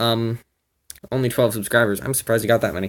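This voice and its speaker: On a very clean recording with a silent background, a man speaks with a Minnesotan accent. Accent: Minnesota. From Minnesota, US Midwest. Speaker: YouTuber, amateur real-life superhero. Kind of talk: rant video. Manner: animated.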